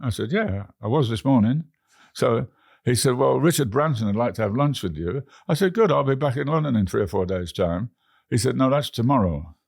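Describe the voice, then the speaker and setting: With an English accent and a medium pitch, a man speaks at a fairly quick pace with very wide pitch swings on a very clean recording with a silent background. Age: 80s+. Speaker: frequent flyer travel record holder. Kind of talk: interview. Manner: halting.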